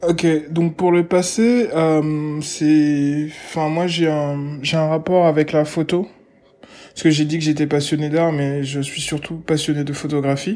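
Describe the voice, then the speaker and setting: At a very slow pace, a man talks with fairly even intonation, a fairly high pitch and a dark, mellow tone. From Gabon (Libreville). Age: 20s. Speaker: artist agent and art enthusiast. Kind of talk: interview. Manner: hesitant, many fillers and repetitions.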